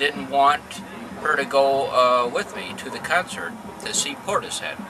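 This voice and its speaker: Background noise is noticeable. The talking proceeds at a moderate pace. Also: man. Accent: American. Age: 50s. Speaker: interviewee telling his life story. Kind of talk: testimony. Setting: outdoors in a park. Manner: halting, many fillers and repeats.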